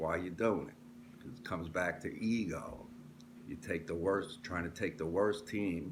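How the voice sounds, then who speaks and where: A man speaks in a very deep, low voice that is somewhat breathy. Room echo can be heard. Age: 60s. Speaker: sports commentator vlogger. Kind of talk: casual monologue. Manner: animated.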